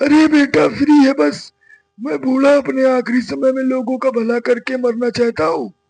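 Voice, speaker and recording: Over background music, a man does a put-on character voice at an extremely high pitch, with ordinary pitch variation and a moderate pace. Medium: read story. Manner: falsely friendly.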